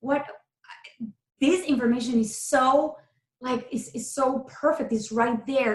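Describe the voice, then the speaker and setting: With ordinary pitch variation, this woman's voice sits high in pitch. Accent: Spanish. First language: Spanish. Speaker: keto coach. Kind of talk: interview conversation. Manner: animated.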